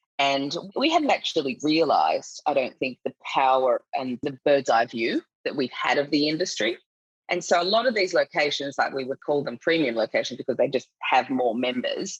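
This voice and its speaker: A woman speaks with an Australian accent. The sound is dry and close, with no echo. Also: moderate pace. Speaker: finance executive, nonprofit director. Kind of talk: podcast interview.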